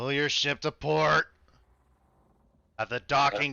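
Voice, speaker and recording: A man puts on a gruff character voice at medium pitch, speaking at a fairly slow pace. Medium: actual play. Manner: curt.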